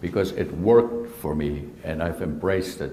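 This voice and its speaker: A man speaks, and the room echo is audible. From Germany. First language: German. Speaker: surgeon. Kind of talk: presentation talk. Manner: hesitant.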